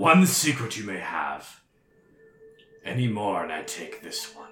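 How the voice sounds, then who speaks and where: At a fairly slow pace, a man speaks in a put-on character voice of medium pitch. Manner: menacing, bargaining.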